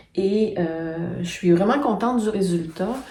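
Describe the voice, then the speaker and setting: A woman's medium-pitched voice, ordinary pitch variation, noticeable background noise and audible room echo. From Quebec, Quebec City. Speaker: knitting and sewing vlogger. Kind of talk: casual vlog talk. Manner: hesitant, many fillers.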